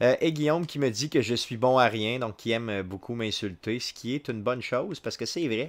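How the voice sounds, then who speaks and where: In a Quebec accent, a man speaks at a medium pitch with ordinary pitch variation. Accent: Québécois French. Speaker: video game streamer. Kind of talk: live gameplay commentary; casual live stream commentary. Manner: halting, frequent filler words. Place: home room.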